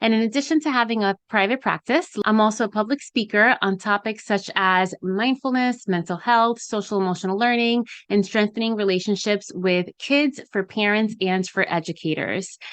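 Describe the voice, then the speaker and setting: A woman with a Spanish accent speaks at a moderate pace in a fairly high pitch, with ordinary pitch variation, very even loudness and hardly any pauses. The sound is dry and close with no echo, and the background is quiet. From US, Dominican family. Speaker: podcast host and therapist. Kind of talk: podcast monologue.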